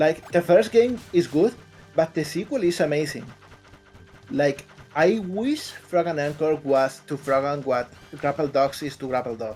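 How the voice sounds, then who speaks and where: A man's fairly high voice with a Spanish accent and lively intonation, music in the background. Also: fairly slow pace. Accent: Spanish accent, noticeable. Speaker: indie game developer. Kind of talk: interview. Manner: halting.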